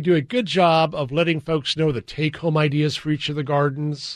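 Here a man speaks at a fairly high pitch. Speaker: garden show coordinator and horticulturist. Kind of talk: casual interview.

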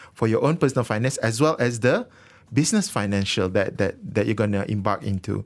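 Speaking at a fairly quick pace, a man with a Malaysian accent has a medium-pitched voice. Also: very clean recording, silent background. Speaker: financial advisor. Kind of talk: radio interview. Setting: studio.

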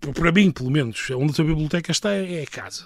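A man is speaking. His pitch sits fairly high. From northern Portugal, Viana do Castelo. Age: 30s. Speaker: political scientist. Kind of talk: interview. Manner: halting.

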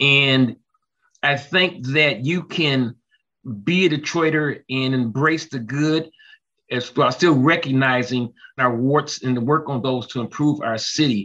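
A man talks at a fairly slow pace in a fairly high pitch. His tone is bright and sharp, with ordinary pitch variation. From Detroit. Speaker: former reporter. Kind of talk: panel discussion.

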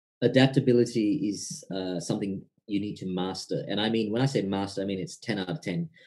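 Music plays in the background. A man talks with lively intonation at a fairly low pitch. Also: fairly quick pace. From Indian heritage family. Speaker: entrepreneur and former salesman. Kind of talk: casual interview chat.

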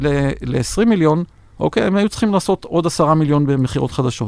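A man talks in a plain, everyday voice at a moderate pace. His pitch is fairly high, with ordinary variation. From Israel. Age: 60s. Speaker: venture investor and former tech executive. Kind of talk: interview. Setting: studio.

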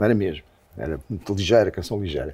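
A man with a dark, mellow tone speaks at a very fast pace. The recording is very clean, with a silent background. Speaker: rock musician. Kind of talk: casual chat.

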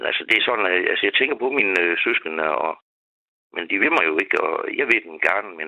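Words pour out very fast. They come from a man. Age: 50s. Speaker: caller. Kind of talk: phone-in talk.

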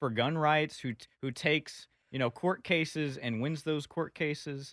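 On a very clean, dry, close recording with no echo and a silent background, a man with a plain, everyday voice speaks at a moderate pace, fairly high in pitch, with ordinary pitch variation. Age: 20s. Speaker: political activist. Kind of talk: casual chat.

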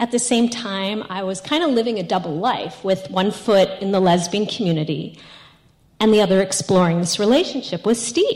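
Speaking at a moderate pace with an American accent, a woman uses a plain, everyday voice at a medium pitch with ordinary pitch variation. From New York. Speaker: storyteller. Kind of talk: personal storytelling.

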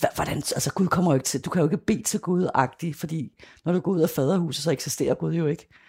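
Very fast and with hardly any pauses, a woman speaks at a fairly low pitch in a dark, mellow, somewhat breathy tone with ordinary pitch variation, on a very clean recording with a silent background. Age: 40s. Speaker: former sect member and activist. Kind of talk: interview testimony.

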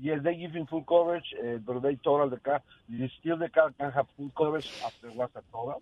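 This man has a plain, everyday voice with a fairly high pitch and ordinary pitch variation. He talks at a fairly quick pace, with big swings in loudness. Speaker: regular caller, car business worker. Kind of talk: call-in conversation. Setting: phone call.

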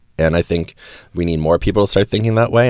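With an American accent, a man speaks with vocal fry. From Wisconsin. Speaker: activist and graduate student. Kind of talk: casual interview.

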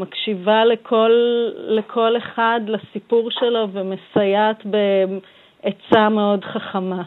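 A woman talks at a very slow pace. Her voice is fairly high, with a monotone, flat intonation. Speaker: pediatric intensive care doctor. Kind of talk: radio interview.

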